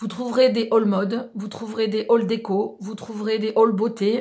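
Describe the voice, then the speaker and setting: Her voice is dark, mellow and somewhat breathy, delivered at a moderate pace in a monotone, flat intonation on a very clean recording with a silent background. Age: 40s. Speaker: beauty and lifestyle vlogger. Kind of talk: casual vlog introduction. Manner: hesitant, many fillers.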